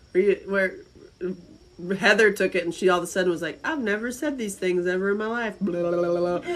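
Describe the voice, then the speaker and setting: Speaking in a Southern US accent, a woman talks at a fairly quick pace. Her pitch is medium, with ordinary variation. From North Carolina, US South (Asheville). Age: 50s. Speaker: live-stream host. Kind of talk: casual chat. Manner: animated.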